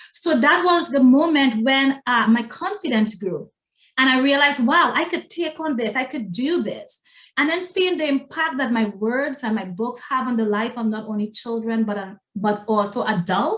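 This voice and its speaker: At a moderate pace, a woman speaks with lively intonation and a high pitch. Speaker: self-publishing consultant and coach. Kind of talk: interview testimony.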